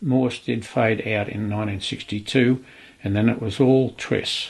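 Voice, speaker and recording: With an Australian accent, a man speaks at a fairly slow pace, somewhat breathy and with fairly even intonation. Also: medium pitch for a man. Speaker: retired telegraphist. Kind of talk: documentary interview.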